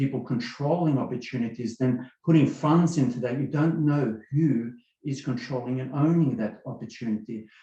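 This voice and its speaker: A man with an Australian accent, medium pitch, a dark, mellow tone, somewhat breathy, with fairly even intonation at a moderate pace. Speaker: webinar attendee giving testimony. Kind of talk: testimony.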